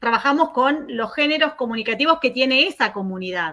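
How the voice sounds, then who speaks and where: A woman talks at a fairly quick pace in a high, raised and projected voice. Her tone is bright and sharp, with lively intonation. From Argentina. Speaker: academic researcher, keynote speaker. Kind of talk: conference Q&A answer. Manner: fast; hesitant, many fillers.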